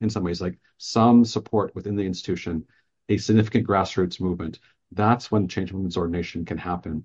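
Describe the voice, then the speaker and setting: A man with an American accent is speaking. His pace is fairly quick. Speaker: religion professor and historian. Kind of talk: academic interview. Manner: halting.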